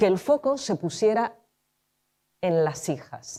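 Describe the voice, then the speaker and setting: Very wide pitch swings mark this woman's medium-pitched voice, which has a dark, mellow tone and a Spanish accent. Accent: Spanish (Spain). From Argentina, raised in Spain. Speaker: film director and screenwriter. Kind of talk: talk at a conference. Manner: informal, with frequent fillers.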